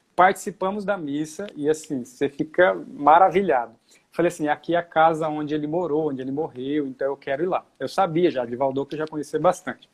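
A man with a normal speaking voice talks at a fairly quick pace, with hardly any pauses. His pitch is fairly high, with ordinary variation. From Brazil, São Paulo state coast (Caraguatatuba). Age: 30s. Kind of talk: casual chat.

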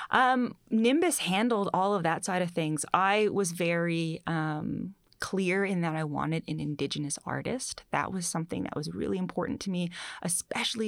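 On a very clean recording with a silent background, a woman with an ordinary speaking voice talks fairly quickly in a fairly low pitch. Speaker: author. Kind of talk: interview. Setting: studio.

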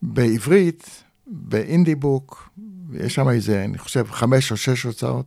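Using a dark, mellow tone, a man speaks at a very slow pace with lively intonation. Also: medium pitch for a man. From Israel. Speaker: author. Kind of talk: interview.

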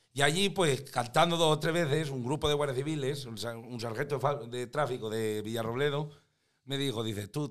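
A man with a La Mancha accent speaks at a fairly quick pace. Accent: broad local La Mancha speech. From Spain, La Mancha (Tomelloso). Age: 50s. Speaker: comedian and singer. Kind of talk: casual chat.

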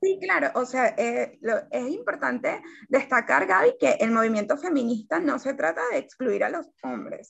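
A woman's high voice rises and falls with lively intonation. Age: 20s. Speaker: journalist and activist. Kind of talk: casual interview chat.

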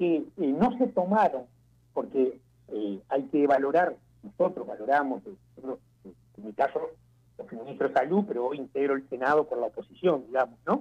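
The speech moves at a fairly slow pace, with very wide swings in pitch. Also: man. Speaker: former health minister. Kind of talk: interview. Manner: halting.

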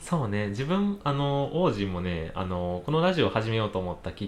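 Using very wide pitch swings, a man speaks in a Kansai accent at a fairly low pitch. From Kansai, Japan. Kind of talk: casual chat.

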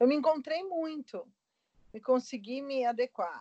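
A woman speaks with ordinary pitch variation. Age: 40s. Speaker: aeronautical engineer and catechist. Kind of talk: casual interview chat.

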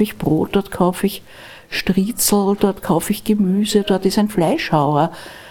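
At a moderate pace, a woman of medium pitch talks in a dark, mellow tone with fairly even intonation. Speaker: divorce lawyer. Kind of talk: interview conversation. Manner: soft-spoken.

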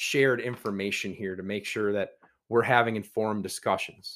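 Recorded very cleanly against a silent background, a man with an Upper Midwest accent and medium pitch speaks at a fairly quick pace. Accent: Upper Midwest American. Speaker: podcast host. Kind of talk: interview.

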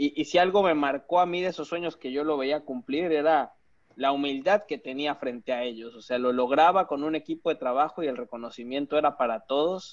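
A man with an ordinary speaking voice and a fairly high pitch talks fairly quickly, his pitch varying in an ordinary way. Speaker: podcast host. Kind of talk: interview conversation.

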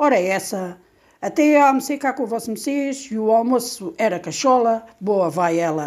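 With an unremarkable speaking voice, a woman talks at a moderate pace using lively intonation and a fairly high pitch. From Portugal, Alentejo. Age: 60s. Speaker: storyteller. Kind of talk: reading aloud.

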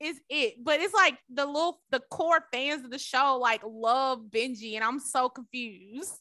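A woman with a high pitch projects a raised voice with a bright, sharp tone, at a fairly slow pace with hardly any pauses. Her pitch variation is ordinary, and the sound is dry and close with no echo. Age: 20s. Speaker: podcast co-host. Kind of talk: casual chat. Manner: animated.

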